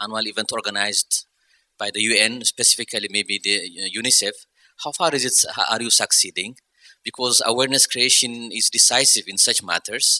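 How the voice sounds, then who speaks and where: A man's fairly quick speech comes through dry and close, free of any echo. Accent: Ethiopian. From Ethiopia. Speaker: audience member, adjunct professor. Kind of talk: audience question. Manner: halting.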